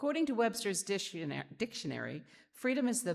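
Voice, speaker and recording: Loud and full of vocal fry, a woman's voice leaps through very wide pitch swings. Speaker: spiritualist medium and lecturer. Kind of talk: sermon. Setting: church podium.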